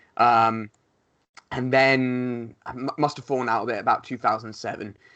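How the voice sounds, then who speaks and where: A man with a bright, sharp tone speaks at a moderate pace and medium pitch, his intonation monotone and flat, his loudness swinging widely, against a quiet background. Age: 20s. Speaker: professional wrestler. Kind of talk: casual chat.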